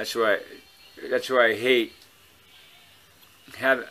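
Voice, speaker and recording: A man is speaking. He mumbles. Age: old. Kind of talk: casual talk to camera. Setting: outdoors. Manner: mumbling.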